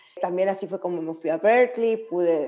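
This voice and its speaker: Hers is an unremarkable speaking voice, fairly low in pitch. The woman talks at a moderate pace with ordinary pitch variation. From Mexico, Monclova (Coahuila). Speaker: lawyer and gender equity consultant. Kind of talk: interview.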